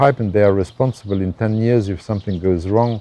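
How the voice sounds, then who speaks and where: A man's fairly low voice, dark and mellow in tone, at a very fast pace, with a dry, close sound and no echo. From Luxembourg. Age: 70s. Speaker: architect. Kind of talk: interview. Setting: architectural workshop on a farm. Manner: halting, repeats words.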